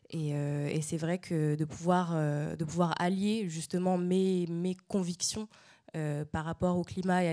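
In a dark, mellow tone, a woman speaks slowly-ish, at a fairly slow pace with monotone, flat intonation. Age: 20s. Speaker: dancer. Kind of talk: panel discussion on stage. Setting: stage with audience. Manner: halting.

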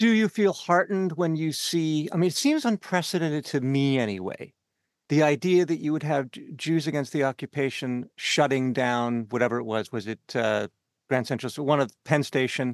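In a Canadian accent, a man with an ordinary speaking voice and a fairly high pitch talks at a moderate pace with lively intonation, over a quiet background with a dry, close sound and no echo. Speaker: podcast host and cultural programmer. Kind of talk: interview. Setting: studio.

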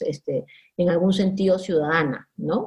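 A woman's fairly low, somewhat breathy voice at a fairly slow pace, with fairly even intonation. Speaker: sociologist. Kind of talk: interview.

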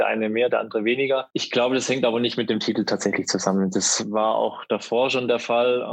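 A man's monotone, flat delivery against noticeable background noise. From Baden-Württemberg, Germany. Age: 30s. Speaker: pageant titleholder and LGBTQ sports activist. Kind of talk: casual interview chat.

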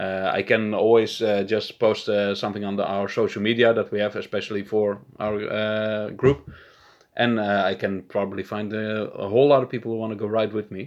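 A man with a Dutch accent speaks at a fairly quick pace. His voice is fairly low and his intonation monotone and flat. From Netherlands. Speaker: podcast co-host. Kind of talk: casual chat.

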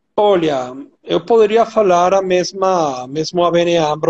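A man with a Venezuelan accent speaks at a high pitch. His pitch variation is ordinary. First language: Spanish (speaking Portuguese). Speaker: compliance executive, ESG expert. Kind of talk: expert interview. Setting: online live stream.

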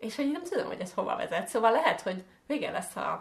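The speaker talks at a very fast pace with very wide pitch swings. Noticeable background noise runs underneath. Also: woman. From Hungary. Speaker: podcast co-host. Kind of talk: casual chat.

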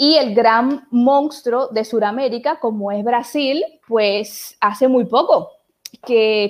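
This is a woman's voice. Her pitch sits fairly high. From Dominican Republic, Puerto Plata. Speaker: lawyer and webinar host. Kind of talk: online panel interview.

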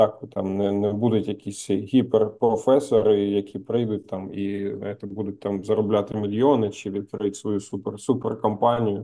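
A man's monotone, flat delivery at a moderate pace, with hardly any pauses. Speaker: podcast co-host. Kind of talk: casual chat.

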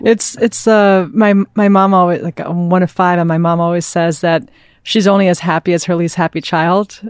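A woman at fairly low pitch with a plain, everyday voice, moderate pace and fairly even intonation, dry and close with no echo over a quiet background. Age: 30s. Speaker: venture capitalist. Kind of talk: casual interview chat.

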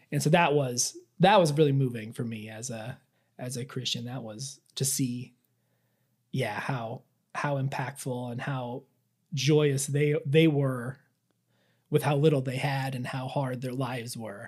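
A somewhat breathy man with an American accent speaks at a fairly slow pace, leaving long, frequent pauses and swinging widely in loudness, in a very clean recording with a silent background. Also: medium pitch for a man, fairly even intonation. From central Iowa, US Midwest. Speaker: churchgoer. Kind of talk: interview.

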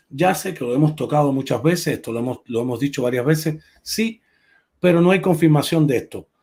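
Speaking at a fairly quick pace, a man uses a fairly high pitch with a dark, mellow tone and ordinary pitch variation. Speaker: livestream host. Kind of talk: casual chat. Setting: live stream.

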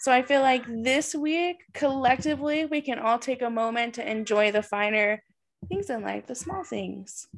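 Against a quiet background, a woman talks in a high pitch with lively intonation. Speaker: podcast host and psychic medium. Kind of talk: guided meditation. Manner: soft and slow; soothing, calm and gentle.

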